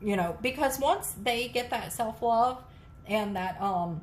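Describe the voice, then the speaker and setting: Fairly high-pitched and lively in her intonation, a woman talks at a fairly slow pace amid audible room echo. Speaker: tarot reader. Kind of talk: tarot reading to camera.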